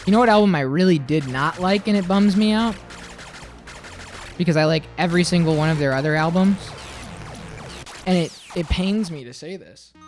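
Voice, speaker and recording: The speech moves at a fairly quick pace, broken by long, frequent pauses, with noticeable background noise behind it. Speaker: livestreamer. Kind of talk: casual chat. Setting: live stream.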